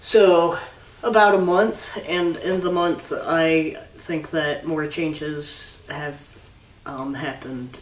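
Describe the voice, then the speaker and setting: A man's very slow, high-pitched speech with ordinary pitch variation, audible room echo and noticeable background noise. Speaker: video blogger. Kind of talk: casual chat. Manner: halting.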